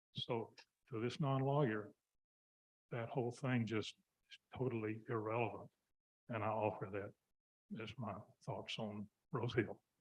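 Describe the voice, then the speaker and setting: The speaker, with an American accent, moves at a moderate pace with long, frequent pauses, recorded with a dry, close sound with no echo. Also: man, medium pitch for a man, fairly even intonation. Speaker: member of the public at hearing. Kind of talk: testimony at public hearing. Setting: hearing room microphone. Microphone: far from microphone, told to speak louder.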